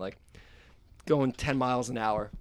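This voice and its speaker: Here a man speaks at a medium pitch. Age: 20s. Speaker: podcast host, musician. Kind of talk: casual chat.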